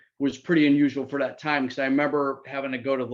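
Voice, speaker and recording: A man talks at a fairly quick pace. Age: 60s. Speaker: hairdresser. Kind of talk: testimony. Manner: halting.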